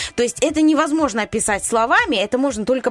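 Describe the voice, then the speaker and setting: An animated woman with lively intonation over noticeable background noise. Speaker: radio host. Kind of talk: casual banter on morning radio show. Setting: studio. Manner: animated, chatty.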